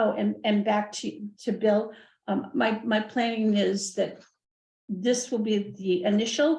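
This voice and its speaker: Somewhat breathy, a woman speaks at a fairly high pitch and a fairly slow pace. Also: ordinary pitch variation. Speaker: library board member. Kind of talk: board meeting discussion. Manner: halting, many repeated words.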